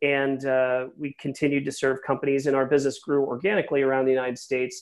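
Very fast, monotone, flat delivery from a man with an American accent and a medium pitch. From US Northeast, Philadelphia. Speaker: business founder and CEO. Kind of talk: interview.

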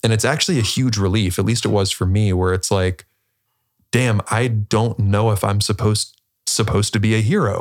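A man's ordinary speaking voice with an American accent, fairly low in pitch, fairly even in intonation and very even in loudness, at a moderate pace on a very clean recording with a silent background. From Pittsburgh, Pennsylvania, US. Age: 20s. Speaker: former college athlete. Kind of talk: casual chat.

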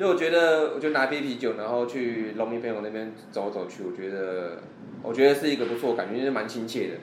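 Amid noticeable background noise and audible room echo, a man at medium pitch speaks at a fairly quick pace with lively intonation. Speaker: baseball podcast co-host. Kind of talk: casual chat.

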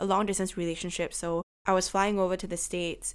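The speech comes at a very fast pace with vocal fry. The recording is very clean, with a silent background. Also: woman. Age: 20s. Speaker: musician. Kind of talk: casual chat.

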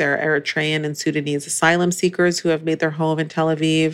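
A woman with a General American accent speaks fairly quickly in a very deep, low pitch and a flat monotone, recorded very cleanly with a silent background. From Northern California. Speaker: cookbook author. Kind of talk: casual interview.

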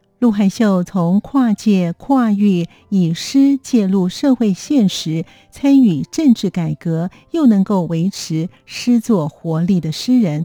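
Lively intonation from a woman at a medium pitch and very slow pace, dry and close with no echo, with music in the background. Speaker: radio host. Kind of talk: radio show hosting.

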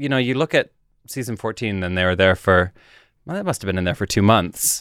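A man with a Canadian accent has a normal speaking voice, fairly low in pitch with ordinary pitch variation. The recording is very clean with a silent background and a dry, close sound with no echo. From Canada, rural farm area. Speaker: drag performer. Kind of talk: casual chat.

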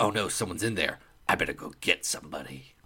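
A man talks very fast in a put-on character voice, raspy and very deep in pitch. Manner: impression.

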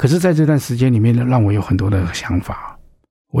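Fairly quick speech from a man, somewhat breathy, with a dark, mellow tone. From Taiwan. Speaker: pastor and former drug dealer. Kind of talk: testimony.

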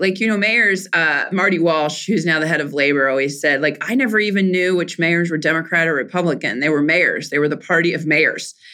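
A woman with an American accent speaks at a fairly quick pace with hardly any pauses, a fairly low pitch and ordinary pitch variation. Her loudness stays very even over noticeable background noise. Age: 40s. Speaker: politician. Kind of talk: interview.

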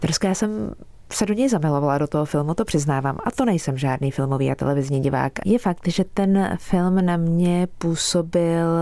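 A woman talks at a moderate pace in a fairly low pitch with ordinary pitch variation and an ordinary speaking voice. The recording is very clean, with a silent background. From Czech Republic, Prague. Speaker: radio host and meteorologist. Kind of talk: radio interview.

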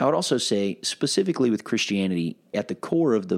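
On a very clean recording with a silent background, a man with a South Carolina accent talks at a fairly quick pace in a fairly low voice. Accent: Southern US (South Carolina). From US South, upstate South Carolina (Pelzer). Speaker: pastor. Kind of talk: casual chat.

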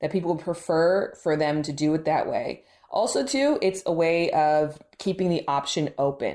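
A woman speaks with a Canadian accent at a fairly low pitch, her tone dark and mellow. The recording is very clean, with a silent background. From Toronto, Canada. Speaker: sex educator. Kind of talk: interview.

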